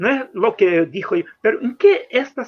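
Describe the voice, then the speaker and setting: This man talks with a Brazilian accent at a high pitch. His pitch swings very widely. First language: Portuguese (speaking Spanish). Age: 70s. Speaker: popular educator. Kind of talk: workshop talk. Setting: video call. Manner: halting.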